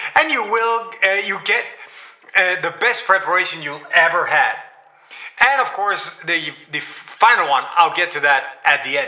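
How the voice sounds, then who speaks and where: With noticeable background noise, a man raises and projects his high voice in a Danish accent. He speaks fairly slowly with lively intonation. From Denmark. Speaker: AI trainer. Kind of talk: live-stream tutorial. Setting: livestream. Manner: halting, many fillers and repeats.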